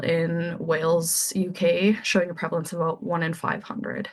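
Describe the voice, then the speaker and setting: With a Canadian accent, a woman speaks in a somewhat breathy voice. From Saskatoon, Saskatchewan, Canada. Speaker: anesthesia resident physician. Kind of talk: medical grand rounds lecture.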